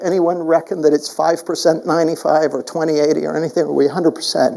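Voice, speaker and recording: The speaker is a man with a high pitch. Background noise is noticeable. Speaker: keynote speaker and coach. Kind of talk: live keynote speech.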